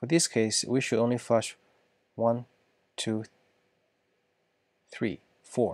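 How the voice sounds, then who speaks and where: Speaking at a very slow pace with long, frequent pauses, a man uses a non-native accent. His pitch is medium and his intonation fairly even. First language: not English. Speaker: software engineer solving coding problems. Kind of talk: coding tutorial. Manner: halting, thinking aloud.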